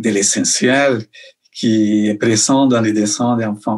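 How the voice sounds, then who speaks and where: The speaker talks at a very slow pace. The voice comes in a Colombian accent. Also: man. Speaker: illustrator and children's author. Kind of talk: interview answer. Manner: hesitant, many fillers.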